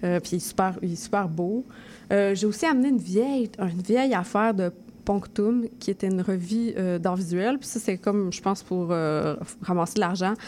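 Speaking with a Quebec accent, a woman has a dark, mellow tone, a medium pitch, ordinary pitch variation, and a moderate pace. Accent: Québécois French. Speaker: poet and zine artist. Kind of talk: casual interview.

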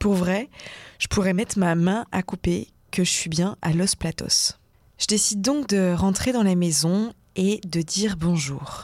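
A woman with an unremarkable speaking voice talks at a fairly slow pace, medium in pitch, with ordinary pitch variation and very even loudness. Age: 20s. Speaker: radio documentary host. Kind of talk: narrated radio documentary.

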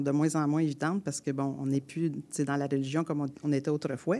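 This woman talks at a fairly quick pace in a very deep, low voice with a dark, mellow tone, on a very clean recording with a silent background. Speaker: storyteller and folk singer. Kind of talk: storytelling. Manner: colloquial, animated.

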